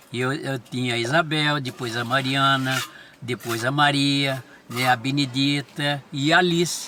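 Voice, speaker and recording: A fairly high-pitched man at a fairly slow pace amid noticeable background noise. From Brazil, São Paulo state (Franca region). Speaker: pastor. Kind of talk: life-story interview. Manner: halting, repetitive.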